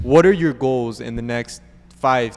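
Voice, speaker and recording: An ordinary speaking voice from a man, pitched at medium height, moving at a moderate pace. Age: young. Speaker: podcast host. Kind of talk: interview.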